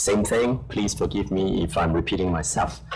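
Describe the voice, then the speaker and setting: Music runs in the background as a man speaks with lively intonation through audible room echo. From Hong Kong. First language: Cantonese/Chinese. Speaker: professor and journal editor. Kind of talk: conference panel talk.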